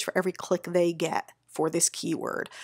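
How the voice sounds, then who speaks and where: This woman has a normal speaking voice, pitched fairly low for a woman. She speaks at a moderate pace, and the sound is dry and close with no echo. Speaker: SEO agency owner. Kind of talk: screen-share tutorial. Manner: casual, upbeat.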